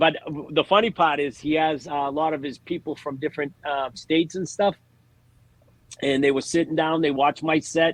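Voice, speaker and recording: A man with a Boston accent at a fairly high pitch, moderate pace and fairly even intonation, in a dry, close sound with no echo. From Massachusetts (Lawrence, Boston area). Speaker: stand-up comedian. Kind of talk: casual chat.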